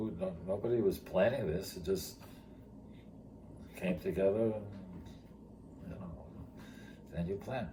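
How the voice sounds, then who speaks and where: In an American accent, a man with a fairly low pitch and a somewhat breathy, dark, mellow tone speaks at a fairly slow pace with long, frequent pauses, ordinary pitch variation and big swings in loudness, amid audible room echo. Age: 70s. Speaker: retired teacher and charity founder. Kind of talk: interview storytelling. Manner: halting.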